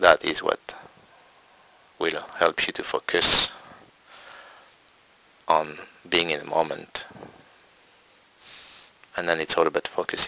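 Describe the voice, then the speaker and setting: Speaking at a fairly slow pace with a non-native accent and long, frequent pauses, a man sounds dry and close with no echo, over noticeable background noise. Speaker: meditation teacher. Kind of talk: spiritual Q&A talk.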